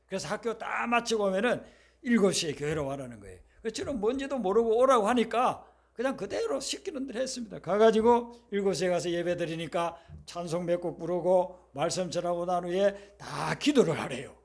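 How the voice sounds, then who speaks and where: A man speaks in an animated tone at a fairly quick pace. His pitch is high and his intonation lively. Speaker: pastor. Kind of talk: sermon. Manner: animated storytelling.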